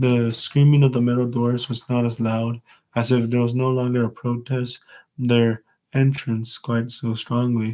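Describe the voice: A quiet background behind plain reading aloud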